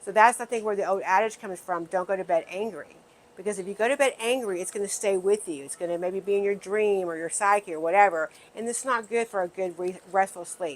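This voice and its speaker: Talking at a very fast pace, a woman with an American accent speaks at a medium pitch. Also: ordinary pitch variation. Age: 60s. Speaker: wellness video host. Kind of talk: casual talk to camera.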